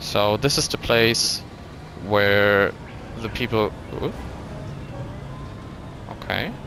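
A fairly low-pitched male voice at a very slow pace, fairly even in intonation, with long, frequent pauses and music in the background. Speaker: gaming video creator. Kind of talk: casual gameplay commentary. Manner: low-energy, subdued.

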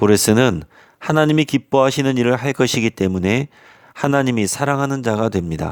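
With lively intonation, a man speaks at a moderate pace and medium pitch. The sound is dry and close with no echo, very clean against a silent background. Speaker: pastor. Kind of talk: sermon.

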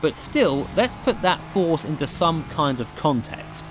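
With music playing in the background, a man talks in a British accent. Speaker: sim racing video creator. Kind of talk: product review talk. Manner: casual, self-deprecating.

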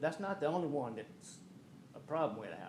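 A man in a Louisiana accent, fairly quick in pace with ordinary pitch variation, amid audible room echo. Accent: US Southern (Louisiana). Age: 70s. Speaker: homeowners association board member. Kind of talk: public comment at council meeting. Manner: halting.

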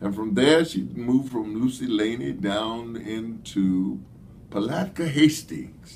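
With lively intonation, a man talks at a very slow pace over light background noise. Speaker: history storyteller. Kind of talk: lecture. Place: office. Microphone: phone near.

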